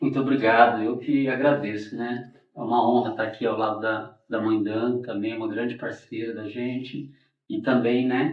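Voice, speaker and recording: There is audible room echo as a man talks at a moderate pace. His voice is medium in pitch, with flat, monotone intonation. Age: 40s. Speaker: capoeira master. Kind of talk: interview. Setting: studio.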